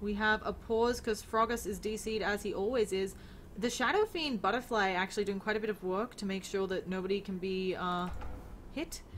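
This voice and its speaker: A woman speaks with an Australian accent. Her pitch is medium and her intonation fairly even. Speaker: esports caster. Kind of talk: live commentary. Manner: fast.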